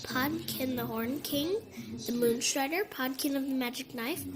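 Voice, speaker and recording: Over loud background noise, a woman uses a put-on character voice pitched high, speaking at a moderate pace. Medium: read story. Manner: wry, assured.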